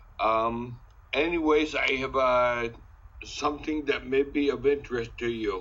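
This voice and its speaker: A plain, everyday voice of a man, medium in pitch, with fairly even intonation. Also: fairly slow pace. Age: 60s. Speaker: ataxia patient advocate. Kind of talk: casual presentation.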